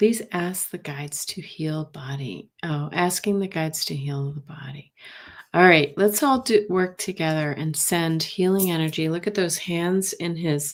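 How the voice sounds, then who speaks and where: Soft-spoken and fairly slow, the voice shows big swings in loudness and ordinary pitch variation on a very clean recording with a silent background. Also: woman, fairly low pitch for a woman. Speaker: tarot card reader. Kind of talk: live stream tarot reading. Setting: live stream. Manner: halting.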